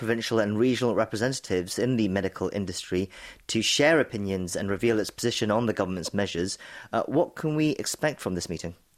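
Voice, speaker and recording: Over a silent background on a very clean recording, a man speaks very fast with lively intonation. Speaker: radio news show host. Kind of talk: current affairs radio. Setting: studio.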